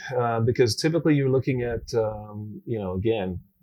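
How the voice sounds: A man with a fairly low pitch and slightly mellow tone talks at a moderate pace with ordinary pitch variation.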